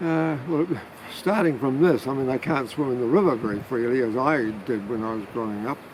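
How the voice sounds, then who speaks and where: Lively intonation and a fairly quick pace from a man, with noticeable background noise. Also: medium pitch for a man. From New Zealand, Manawatu. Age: 70s. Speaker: retired family therapist, climate activist. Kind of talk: interview. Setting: outdoors by a river. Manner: halting, many fillers.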